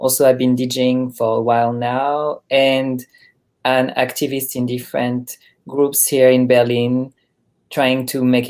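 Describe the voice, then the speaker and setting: The speaker talks at a fairly slow pace with a French accent in a very clean recording with a silent background. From France, Paris. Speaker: drag artist and activist. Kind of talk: interview conversation.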